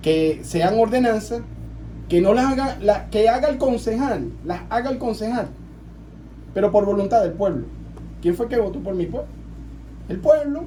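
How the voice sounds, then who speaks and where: A fairly slow, high-pitched male voice with lively intonation and long, frequent pauses, plus audible room echo and noticeable background noise. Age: 40s. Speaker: local councillor. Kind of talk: radio interview.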